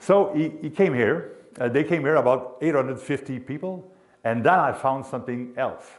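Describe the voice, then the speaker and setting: A man with a Quebec accent talks at a moderate pace. His pitch is fairly high. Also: ordinary pitch variation. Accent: Québécois French accent in English. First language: French. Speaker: sports announcer and hockey historian. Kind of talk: history presentation. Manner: halting.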